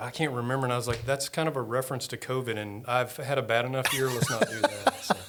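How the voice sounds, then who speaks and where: A man with an American accent talks very fast at medium pitch. Noticeable background noise is present. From central Texas, small town (Lexington). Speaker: paramedic and EMS director, church elder. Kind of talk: casual interview chat.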